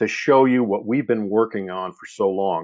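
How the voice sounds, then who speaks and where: This man's voice is fairly low, with ordinary pitch variation and a moderate pace. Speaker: software company founder presenting app. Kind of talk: webinar product presentation. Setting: online webinar.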